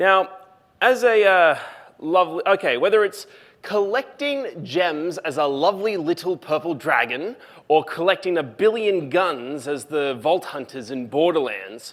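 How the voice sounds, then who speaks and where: Speaking in an Australian accent, a man with a high voice talks at a fairly slow pace, his pitch swinging very widely. The recording is very clean, with a silent background. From Australia, Lithgow NSW. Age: 20s. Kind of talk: public talk.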